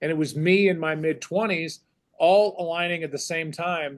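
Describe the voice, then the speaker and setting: At a moderate pace, a man with a normal speaking voice talks in a fairly high pitch with fairly even intonation. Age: 50s. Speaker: sports broadcaster, play-by-play announcer. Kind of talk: podcast interview answer, reflective conversation.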